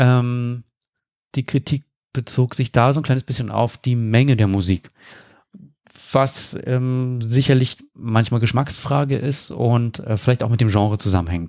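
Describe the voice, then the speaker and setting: A man with a medium-pitched voice and normal pitch movement talks fairly slowly, leaving long pauses often. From Berlin, Germany. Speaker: improv theatre musician. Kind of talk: interview conversation.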